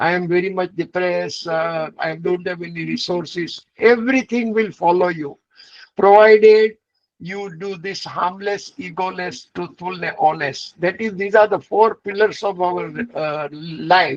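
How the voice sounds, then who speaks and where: A man with a high pitch and ordinary pitch variation speaks at a fairly slow pace. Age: 80s+. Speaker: vegan entrepreneur and speaker. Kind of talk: summit talk answering interview questions.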